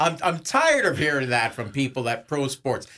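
A bright, sharp tone marks this voice. It is raised and projected. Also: man. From Manitoba, Canada (small French farming town). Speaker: sports broadcaster, podcast co-host. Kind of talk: casual sports chat.

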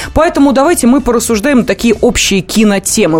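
A woman's fairly high voice at a fairly quick pace, with lively intonation and noticeable background noise. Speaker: radio host. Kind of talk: casual chat.

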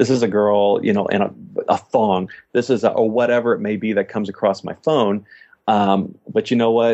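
Spoken at a moderate pace, a plain, everyday voice keeps a fairly even intonation. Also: man, medium pitch for a man. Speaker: youth ministry leader, former youth pastor. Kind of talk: podcast interview, personal testimony.

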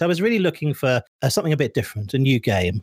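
Speech comes at a very fast pace in a southern English accent, somewhat breathy, with very wide pitch swings. The recording is very clean with a silent background and a dry, close sound with no echo. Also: man. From England, Suffolk. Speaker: online gaming community moderator. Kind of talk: casual interview.

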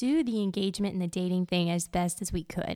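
A woman with a Louisiana accent and ordinary pitch variation. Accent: US Southern, Louisiana. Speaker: podcast host. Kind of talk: casual interview chat.

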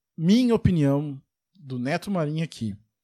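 The recording is very clean, with a silent background. The speaker has a Brazilian accent. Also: man. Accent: Brazilian accent when speaking English. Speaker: software developer and podcast host. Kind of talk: casual solo podcast monologue. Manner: conversational, many fillers.

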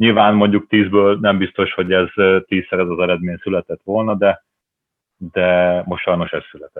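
A man's fairly low, monotone voice with flat intonation, at a moderate pace. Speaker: football academy director. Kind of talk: panel discussion.

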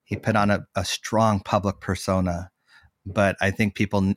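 A man's fairly low-pitched, monotone voice with flat intonation at a moderate pace, in a dry, close sound with no echo on a very clean recording with a silent background. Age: 50s. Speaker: member of a famous music family, docuseries maker. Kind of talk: interview.

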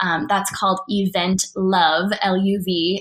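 A woman speaks with an American accent at a medium pitch. Noticeable background noise runs behind her. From US Upper Midwest, Wisconsin. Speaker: entrepreneur and speaker who runs women's events. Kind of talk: casual interview conversation.

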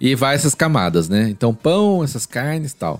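Recorded very cleanly against a silent background, a man with a fairly high pitch speaks at a moderate pace with very wide pitch swings. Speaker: podcast co-host and pastor. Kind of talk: casual chat.

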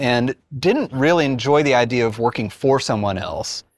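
A man with an American accent speaks in a plain, everyday voice at a medium pitch with ordinary pitch variation. His pace is moderate, and the recording is very clean with a silent background. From West Virginia, rural small town. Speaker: entrepreneur, game company founder. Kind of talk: interview testimony.

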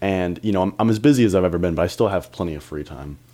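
Very fast and with an American accent, a man speaks in a dark, mellow tone with ordinary pitch variation. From US South, South Carolina (Myrtle Beach area). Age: 20s. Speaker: college student and intern. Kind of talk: casual interview.

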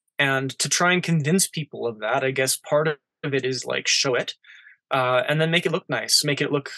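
In an Albertan accent, a bright, sharp voice talks at a moderate pace with fairly even intonation, the sound dry and close with no echo. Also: man. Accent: Canadian (Alberta). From Canada, Edmonton, Alberta. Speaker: outdoor TV show producer and hunter. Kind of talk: casual interview.

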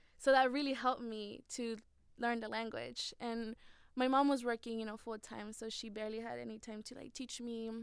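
A woman's fairly high pitch in a Spanish accent, with monotone, flat intonation and big swings in loudness, at a moderate pace. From Guatemala, raised in Los Angeles. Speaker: immigrant rights activist. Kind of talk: interview.

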